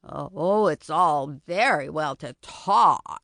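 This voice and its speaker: At a middle pitch, the speaker puts on a character voice. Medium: audio drama. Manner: eager, easily delighted.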